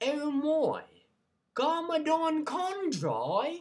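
Someone does a put-on character voice at a high pitch with a British accent.

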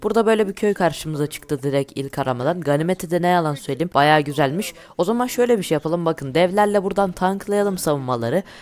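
Speaking very fast, a man uses a fairly high pitch. His pitch variation is ordinary. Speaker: gaming YouTuber. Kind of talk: gameplay commentary.

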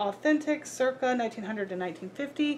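Light background noise sits under a woman whose pitch makes very wide swings. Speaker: reseller showing a thrift haul. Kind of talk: casual vlog chat. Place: home room.

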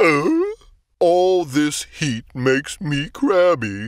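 A man puts on a character voice, pitched fairly high, and delivers his words at a very slow pace. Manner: slow, drowsy, hesitant.

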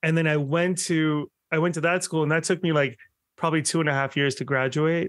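A man talks at a very fast pace and a fairly high pitch, with very even loudness and fairly even intonation. The background is quiet and the sound is dry with no echo. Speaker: podcaster and bariatric surgery patient. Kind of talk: casual interview chat. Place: home room. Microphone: video call.

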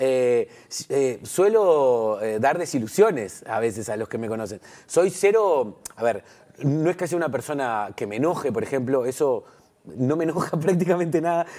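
A man's dark, mellow voice sits fairly high and swings very widely in pitch. He keeps a moderate pace against a quiet background. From Uruguay, Montevideo. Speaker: comedian. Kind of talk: TV interview. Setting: TV studio. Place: studio. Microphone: lapel.

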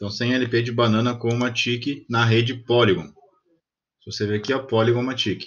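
A man talks in a normal speaking voice at a moderate pace. His pitch is medium and his intonation fairly even. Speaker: crypto investing YouTuber. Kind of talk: screen-recorded tutorial. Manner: casual, thinking aloud.

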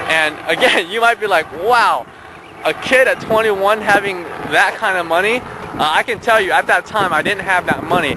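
A man speaks in a raised, projected voice with a high pitch and ordinary pitch variation. The sound is dry with no echo, though there is noticeable background noise. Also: moderate pace. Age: 20s. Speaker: entrepreneur vlogger. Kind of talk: personal story vlog. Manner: hesitant, many fillers. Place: open country. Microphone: phone near.

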